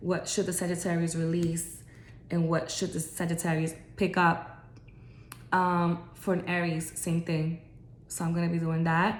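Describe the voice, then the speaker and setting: In a room with audible echo, a woman speaks slowly-ish and somewhat breathily, her fairly low pitch held in a monotone, flat intonation. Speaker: astrology content creator. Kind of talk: casual vlog talk to viewers. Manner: hesitant, many fillers and restarts.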